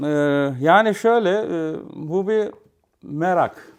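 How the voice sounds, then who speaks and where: A man's voice with very wide pitch swings in a very clean recording over a silent background. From Istanbul, Turkey. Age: 50s. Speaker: hi-fi repairer and enthusiast. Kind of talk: casual interview chat.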